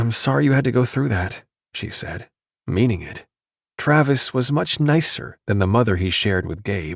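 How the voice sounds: Lively intonation runs through a natural reading voice. The background is quiet.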